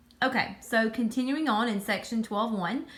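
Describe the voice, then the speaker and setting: A woman speaks with a Southern US accent at a moderate pace. Her pitch is fairly high. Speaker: high school math teacher. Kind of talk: tutorial. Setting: recording at home. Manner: casual with many fillers.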